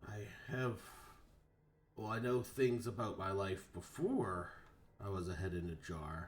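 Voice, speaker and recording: A man puts on a raspy character voice, pitched fairly low. He keeps a moderate pace with long, frequent pauses. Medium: actual play. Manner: casual, drawling.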